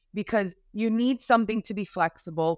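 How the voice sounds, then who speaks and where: A woman speaks at a moderate pace with lively intonation. The recording is very clean and dry, with a close sound, no echo and a silent background. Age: 40s. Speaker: beauty industry executive. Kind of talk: interview. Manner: hesitant, many fillers.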